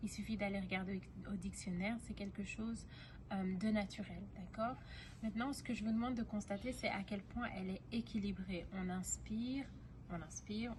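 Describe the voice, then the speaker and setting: Recorded with audible room echo, a woman speaks at a medium pitch with fairly even intonation. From Belgium, Brussels. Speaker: singing teacher. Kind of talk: tutorial. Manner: halting, many fillers.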